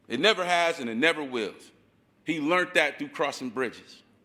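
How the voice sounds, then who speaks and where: In an American accent, a fairly high-pitched man speaks at a moderate pace in an animated, bright and sharp tone. The recording is very clean, with a silent background. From Ohio, Akron. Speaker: community organizer, activist. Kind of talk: rally speech. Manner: impassioned, animated.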